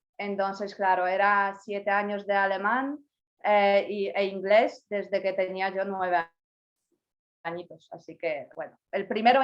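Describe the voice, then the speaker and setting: A woman with a Polish accent, medium pitch and a fairly slow pace. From Poland. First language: Polish (speaking Spanish). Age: 20s. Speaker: university graduate, language learner. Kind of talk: interview.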